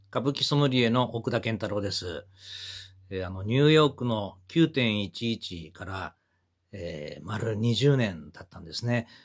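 The man speaks fairly slowly with lively intonation and big swings in loudness. The background is quiet. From Japan. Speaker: kabuki commentator. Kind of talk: personal reflection monologue. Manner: halting, many fillers. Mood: reflective, calm. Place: home room. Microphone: phone near.

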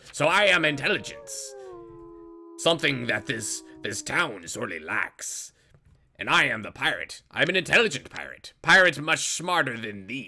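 Here a man puts on a character voice. His pitch is medium and his pace moderate. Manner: boastful, pompous.

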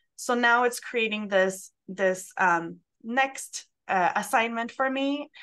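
A woman speaks very slowly in a Swedish accent, her tone bright and sharp. Her loudness stays very even against a quiet background. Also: ordinary pitch variation. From Sweden. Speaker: college instructor. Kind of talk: presentation. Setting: video call. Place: home room.

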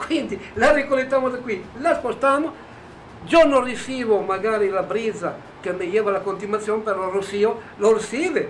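With noticeable background noise behind him, a man speaks at a moderate pace in a high pitch with ordinary pitch variation. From Italy. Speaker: neighborhood association president. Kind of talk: interview.

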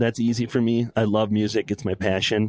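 This is an ordinary speaking voice from a man with an American accent, medium in pitch and at a fairly quick pace. The sound is dry and close with no echo. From Minneapolis, Minnesota. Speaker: music venue talent buyer. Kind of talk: interview.

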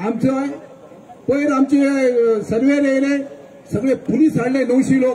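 There is light background noise as a man speaks. His pitch is extremely high, and his intonation is monotone and flat. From Goa. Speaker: village committee representative; speaker. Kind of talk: public speech. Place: stage. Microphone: handheld.

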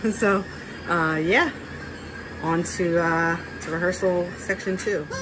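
A woman's fairly low-pitched voice with fairly even intonation over noticeable background noise. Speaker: beauty vlogger. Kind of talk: casual vlog chat. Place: home room. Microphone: phone near.

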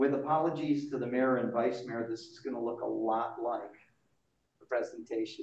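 A man speaks at a moderate pace and medium pitch, his slightly mellow tone carrying fairly even intonation over audible room echo.

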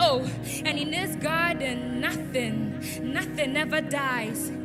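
Loud music plays in the background. Over it, a woman speaks at a very slow pace. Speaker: spoken word poet. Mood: devotional, uplifting. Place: stage. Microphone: handheld.

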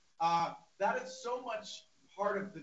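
The recording has audible room echo and light background noise. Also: man. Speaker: drummer. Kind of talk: casual chat. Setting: video call. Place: home room.

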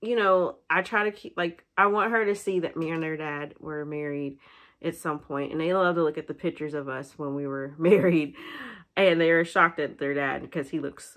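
A woman with a fairly low pitch and ordinary pitch variation speaks over a quiet background. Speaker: single mother vlogger. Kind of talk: casual vlog chat. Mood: candid, occasionally laughing. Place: home room. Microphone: phone near.

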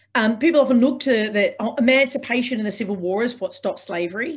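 A fairly high-pitched woman, lively in intonation and fairly quick in pace. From Sydney, Australia. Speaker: organiser, podcast host. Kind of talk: lecture. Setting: video call. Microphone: video call.

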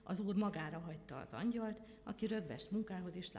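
The pitch variation is ordinary in this unforced reading voice.

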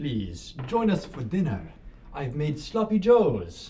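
A man does a put-on character voice at a fairly high pitch with very wide pitch swings. He goes at a fairly slow pace, with clear background noise behind him. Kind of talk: comedy sketch. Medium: stage. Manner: theatrical, grandiose.

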